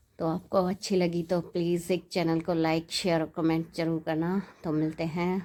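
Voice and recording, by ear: A woman's dark, mellow voice at a fairly low pitch and moderate pace, with little pitch movement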